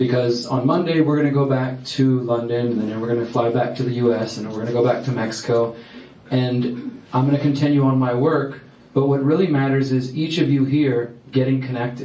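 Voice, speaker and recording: Noticeable background noise and audible room echo surround a man speaking with a Texas accent. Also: medium pitch for a man, fairly quick pace. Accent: American, Texas. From Texas, Houston. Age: 30s. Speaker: activist speaker. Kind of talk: public talk. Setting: stage with audience. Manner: fast when excited.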